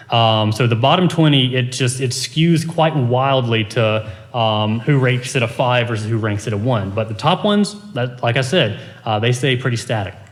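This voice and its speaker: The speech shows ordinary pitch variation, with audible room echo and noticeable background noise. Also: man, medium pitch for a man. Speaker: composition professor presenting research. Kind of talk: conference presentation. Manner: fast.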